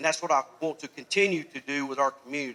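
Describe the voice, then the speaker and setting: Loud and at a fairly quick pace, a man speaks with a fairly high pitch, a bright, sharp tone and fairly even intonation. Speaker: political candidate. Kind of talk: campaign speech.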